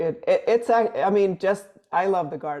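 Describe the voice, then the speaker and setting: A woman speaks with a Swedish accent. Her tone is dark and mellow. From Sweden. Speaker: musician. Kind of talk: casual chat.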